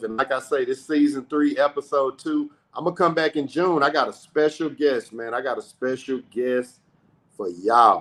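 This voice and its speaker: A man talks at a moderate pace in a fairly high pitch, with ordinary pitch variation. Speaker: podcast host. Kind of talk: casual chat. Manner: loud.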